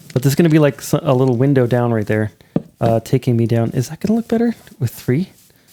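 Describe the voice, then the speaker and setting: A mumbling man at a medium pitch talks at a fairly quick pace with lively intonation, the sound dry and close with no echo. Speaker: gaming video creator. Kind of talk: gameplay commentary. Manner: casual, halting with self-corrections; mumbling to himself.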